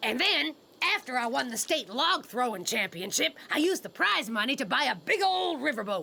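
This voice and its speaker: In a cartoonish character voice, a woman speaks at a high pitch with very wide pitch swings and very even loudness. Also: moderate pace. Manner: brash, folksy, coarse.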